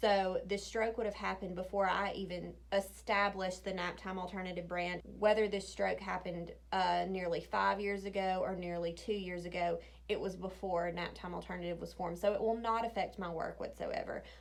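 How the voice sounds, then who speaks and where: Fairly quick speech with audible room echo. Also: woman. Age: 30s. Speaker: planning vlogger. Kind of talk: casual chat. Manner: halting.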